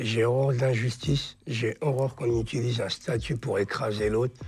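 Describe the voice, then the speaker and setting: This man's voice is somewhat breathy. His pitch sits at medium. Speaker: author and interviewee with a genetic condition. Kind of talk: interview, personal testimony. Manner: casual, colloquial.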